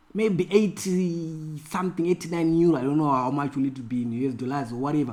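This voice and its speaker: Speaking at a fairly quick pace, a man uses an animated tone. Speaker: forex trading mentor. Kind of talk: screen-share trading tutorial. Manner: animated, repetitive; halting, many fillers.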